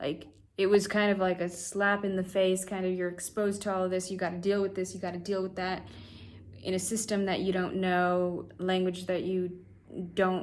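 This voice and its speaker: A woman speaks with an American accent in a monotone, flat intonation. Audible room echo surrounds her voice. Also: medium pitch for a woman, moderate pace. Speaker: vlogger. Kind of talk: casual vlog monologue. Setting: talking to camera. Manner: halting, many fillers.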